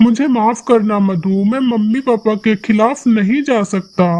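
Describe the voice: A cartoonish character voice, fairly high in pitch, at a fairly slow pace.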